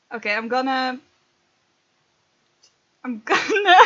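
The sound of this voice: Slow and lively in intonation, a woman speaks at a high pitch. Her tone is bright and sharp.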